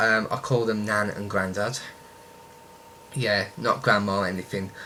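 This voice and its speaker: A man with a strong Birmingham accent at a fairly slow pace. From Birmingham, West Midlands, England. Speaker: YouTuber. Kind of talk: casual vlog, answering questions. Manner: hesitant, many ums.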